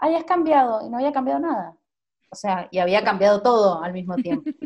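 Her voice has a dark, mellow tone and a fairly high pitch. The woman talks at a fairly quick pace with lively intonation. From Argentina, Mendoza. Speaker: journalist and marathon runner. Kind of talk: interview. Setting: video call.

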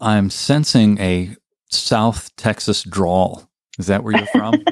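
At a slow pace, a man talks with a fairly low pitch. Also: ordinary pitch variation.

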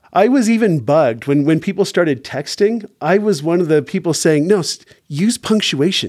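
The speaker is a man with a high pitch. He talks at a moderate pace. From Canada. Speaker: tech company co-founder. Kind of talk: podcast interview. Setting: studio, in person.

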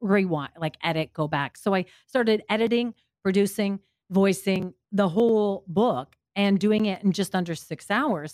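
This woman has a plain, everyday voice at a medium pitch, with ordinary pitch variation and a moderate pace. The recording is very clean, with a silent background and a dry, close sound with no echo. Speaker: radio host and audiobook narrator. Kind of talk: casual interview.

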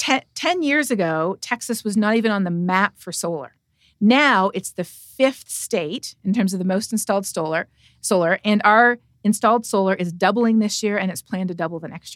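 A woman with a Canadian accent and a plain, everyday voice speaks at a moderate pace and medium pitch with lively intonation, the sound dry and close with no echo on a very clean recording with a silent background. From Canada. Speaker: atmospheric scientist and professor. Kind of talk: interview.

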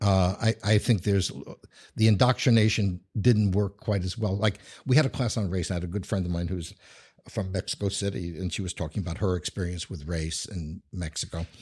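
In a very clean recording with a silent background, a man with an American accent speaks at a fairly quick pace in a very deep, low, somewhat breathy voice with ordinary pitch variation. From New York. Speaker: urban studies scholar and writer. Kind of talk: casual interview. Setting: office studio. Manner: halting with many restarts.

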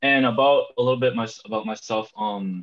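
An ordinary speaking voice from a man, medium in pitch, with ordinary pitch variation at a moderate pace. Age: young. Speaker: amateur soccer player. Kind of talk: casual interview.

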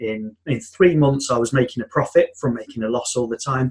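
Here a man with a medium-pitched, somewhat breathy voice talks at a fairly quick pace. His intonation stays fairly even. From UK. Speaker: software developer turned business consultant. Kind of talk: interview, casual chat.

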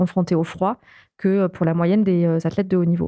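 At a moderate pace, a woman talks at medium pitch with fairly even intonation. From southern France, Toulouse suburbs. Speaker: extreme sports athlete and polar explorer. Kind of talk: interview. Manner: halting.

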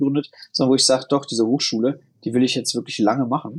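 A man's fairly high voice at a very fast pace. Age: 30s. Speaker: founder and investor. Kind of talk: casual interview.

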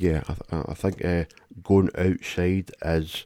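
A man with a Glaswegian accent speaks in a very deep, low pitch with a dark, mellow tone, at a fairly slow pace. His intonation is monotone and flat, in a very clean recording with a silent background. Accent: Glaswegian Scottish. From Glasgow. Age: 30s. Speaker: podcast co-host. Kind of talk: casual chat.

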